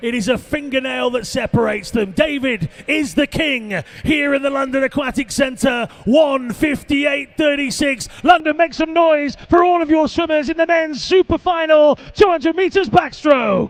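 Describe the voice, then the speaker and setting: A man's extremely high-pitched voice with a British accent, at a moderate pace with hardly any pauses and ordinary pitch variation, over noticeable background noise. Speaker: swimming commentator. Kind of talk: live commentary. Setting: aquatic centre with crowd. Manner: animated.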